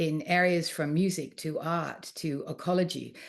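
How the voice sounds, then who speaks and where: In an Australian accent, a woman speaks at a fairly low pitch and a fairly slow pace against a quiet background. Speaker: art historian and author. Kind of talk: lecture. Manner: hesitant with frequent fillers.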